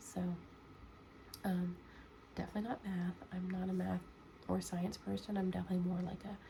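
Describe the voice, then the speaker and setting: Over noticeable background noise, a soft-spoken woman talks at a moderate pace. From United States. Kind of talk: ASMR soft-spoken Q&A. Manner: soft-spoken, sleepy.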